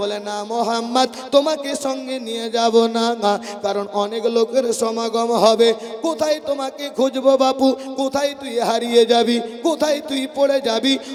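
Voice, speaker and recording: A man with an extremely high pitch, fairly even intonation, and music in the background. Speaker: Islamic preacher. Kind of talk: sermon.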